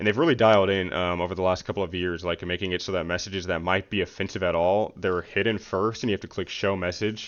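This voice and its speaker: Very deep and low, a man's voice races along at a very fast pace in a monotone, flat delivery with hardly any pauses. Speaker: gamer vlogger. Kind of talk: unscripted commentary vlog. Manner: casual, filler-heavy.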